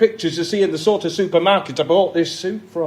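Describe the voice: The intonation holds fairly even. What we hear is plain reading aloud.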